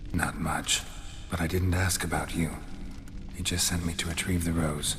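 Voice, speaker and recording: In a cartoonish character voice, a man talks at a moderate pace with a very deep, low pitch amid loud background noise. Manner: terse, deadpan.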